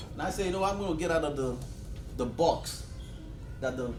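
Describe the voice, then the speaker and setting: Spoken fairly quickly with a Nigerian accent and ordinary pitch variation, the voice carries audible room echo and noticeable background noise. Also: man. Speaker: financial advisor. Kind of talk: motivational talk. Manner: animated.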